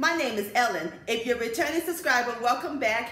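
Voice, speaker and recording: High pitch from a woman, ringing with audible room echo. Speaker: home cooking channel host. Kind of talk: cooking show intro. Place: home room. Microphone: camera far.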